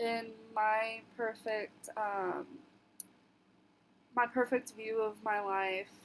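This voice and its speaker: A woman with a fairly high voice talks very slowly. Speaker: social work student. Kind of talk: class video presentation. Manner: halting, frequent ums.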